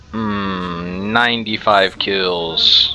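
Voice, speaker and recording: Heard with audible room echo and noticeable background noise, a man is speaking. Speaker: gaming youtuber. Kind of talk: gameplay commentary. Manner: quiet.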